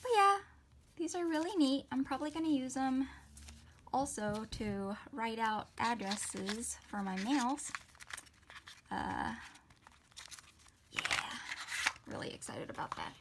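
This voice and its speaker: A woman speaks with high pitch and lively intonation at a fairly slow pace. Her long, frequent pauses sit over noticeable background noise. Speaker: stationery haul vlogger. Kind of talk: casual unboxing haul video. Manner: louder than normal; animated.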